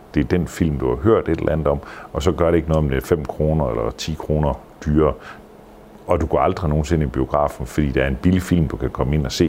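Over noticeable background noise, a man talks at a very fast pace in a very deep, low pitch with ordinary pitch variation. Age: 60s. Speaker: theatre manager and artist manager. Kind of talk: casual interview. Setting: hotel. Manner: halting.

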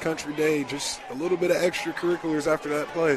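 Talking at a fairly quick pace, a man with an American accent has a fairly high pitch, with noticeable background noise behind him. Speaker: color commentator. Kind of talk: live football color analysis. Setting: stadium broadcast booth. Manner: enthusiastic, analytical.

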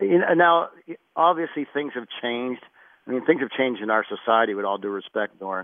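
An unremarkable speaking voice: a man with an American accent, medium pitch and lively intonation, at a fairly quick pace. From Pittsburgh, US. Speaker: football strength coach. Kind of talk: radio interview.

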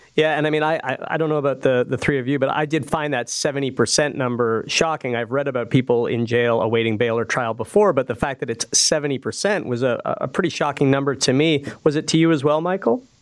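Hardly pausing at all, a man talks at a fairly quick pace in a fairly high pitch with ordinary pitch variation, over noticeable background noise. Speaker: guest radio host. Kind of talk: radio panel discussion.

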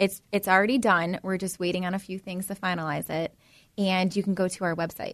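Against a quiet background, a woman speaks at a fairly quick pace in medium pitch. Her intonation is monotone and flat. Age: 30s. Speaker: hair salon owner. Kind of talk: interview.

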